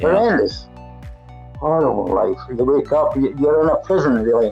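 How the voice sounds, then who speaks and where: With a strong Scottish accent, the speaker talks at a moderate pace and very even loudness. Music plays in the background. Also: man. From Glasgow, Scotland. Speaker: recovered heroin addict. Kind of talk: interview answer.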